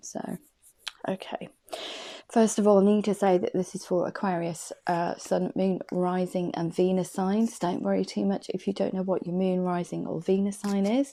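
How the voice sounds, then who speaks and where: This woman keeps a moderate pace on a very clean recording with a silent background. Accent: English. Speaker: tarot card reader. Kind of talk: tarot reading. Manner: hesitant.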